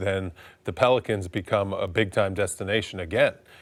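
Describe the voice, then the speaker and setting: A man's plain, everyday voice, at a moderate pace, with fairly even intonation. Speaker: sports analyst. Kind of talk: sports talk show analysis.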